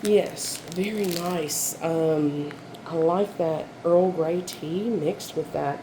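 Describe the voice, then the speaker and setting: A woman speaks with ordinary pitch variation, and there is noticeable background noise along with audible room echo. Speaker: candle and wax melt reviewer. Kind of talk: casual product review haul. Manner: hesitant, many fillers.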